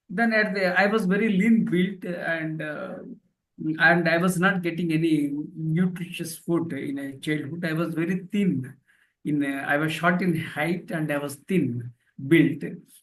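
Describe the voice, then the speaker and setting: In a Telugu accent, a man speaks at a fairly slow pace with a high pitch and ordinary pitch variation. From India, rural village. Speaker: professor and author. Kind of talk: interview testimony. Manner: halting, many fillers.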